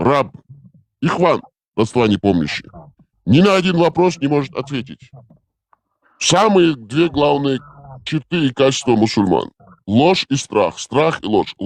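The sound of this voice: Talking at a fairly slow pace with long, frequent pauses, a man uses a fairly high pitch with very wide swings and vocal fry. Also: very even loudness, dry, close sound with no echo.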